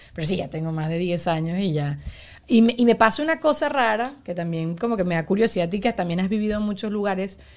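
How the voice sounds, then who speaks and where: Very fast and with lively intonation, a woman speaks at a medium pitch on a very clean recording with a silent background. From Venezuela. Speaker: podcast host. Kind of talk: casual chat.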